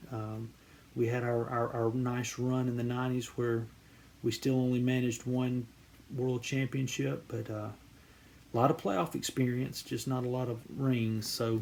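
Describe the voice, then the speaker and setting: Here a man speaks with a Southern US accent at medium pitch. His delivery is monotone and flat, at a moderate pace. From US South, central Georgia. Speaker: card collecting YouTuber. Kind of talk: casual vlog introduction. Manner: halting, many fillers and repeated words.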